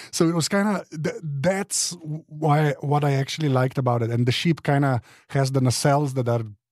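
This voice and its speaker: A man with a non-native accent and a fairly high pitch speaks at a fairly quick pace. The recording is very clean with a silent background. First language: not English. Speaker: podcast panelist. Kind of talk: casual panel discussion. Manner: halting, many restarts.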